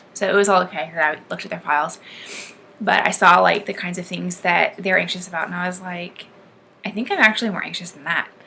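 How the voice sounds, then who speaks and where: A woman speaks at a very fast pace with a medium pitch and fairly even intonation over noticeable background noise. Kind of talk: casual talk to camera.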